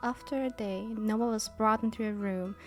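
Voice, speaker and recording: Over music in the background, a woman keeps her speech at a moderate pace. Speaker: VTuber storyteller. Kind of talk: storytelling, comfort ASMR roleplay. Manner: storyteller narration.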